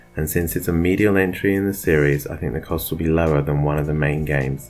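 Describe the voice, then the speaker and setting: Music plays behind a man whose very deep, low voice moves at a fairly quick pace with ordinary pitch variation. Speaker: gaming YouTuber. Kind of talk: scripted narration. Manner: shaky.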